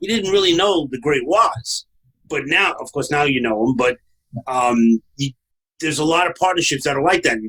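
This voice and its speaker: With a bright, sharp tone and a fairly high pitch, a man talks at a moderate pace in a lively intonation, leaving long, frequent pauses. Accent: Brooklyn. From New York, Brooklyn. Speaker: podcast host, franchise consultant. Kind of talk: casual podcast conversation.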